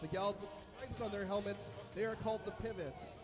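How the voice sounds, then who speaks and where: Clear music plays in the background as a man talks at a fairly quick pace and a high pitch. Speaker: event announcer. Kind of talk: explanatory announcement to audience. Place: hall.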